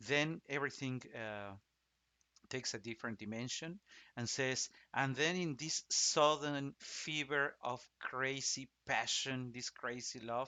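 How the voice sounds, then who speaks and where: This man speaks with a Spanish accent at a fairly slow pace. His pitch is medium, with ordinary variation. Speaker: opera singer. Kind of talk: casual explanatory talk. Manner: halting, many restarts and fillers.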